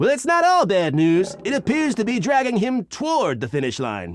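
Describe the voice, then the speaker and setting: Pitched high, a man uses a put-on character voice. His pace is moderate. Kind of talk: sports broadcast color commentary.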